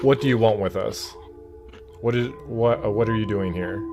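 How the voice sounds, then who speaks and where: A put-on character voice moves at a moderate pace over clear background noise. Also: man, medium pitch for a man. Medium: actual play.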